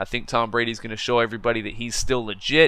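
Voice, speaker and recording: A man's medium-pitched voice with a bright, sharp tone, at a fairly quick pace. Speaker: gaming commentator. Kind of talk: casual commentary. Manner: halting; casual.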